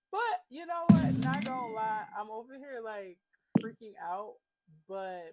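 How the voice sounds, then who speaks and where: A woman with a fairly high voice speaks at a fairly slow pace, her loudness swinging widely, with music playing in the background. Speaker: gaming youtuber. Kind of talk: casual gameplay commentary. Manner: casual, rambling with fillers.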